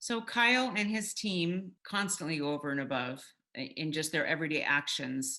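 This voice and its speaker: Loud and bright, sharp in tone, a woman's fairly low voice moves at a moderate pace with very wide pitch swings. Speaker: realtor. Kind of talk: testimonial interview. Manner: animated.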